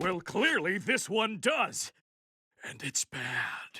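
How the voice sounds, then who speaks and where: A very slow, fairly high-pitched, put-on character voice. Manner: grumpy.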